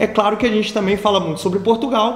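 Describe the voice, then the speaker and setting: The man's voice echoes audibly off the room. Background noise is noticeable throughout. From Brazil, Rio de Janeiro. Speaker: business manager of an innovation hub, video host. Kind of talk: casual video commentary / news review. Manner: hesitant, many fillers and restarts.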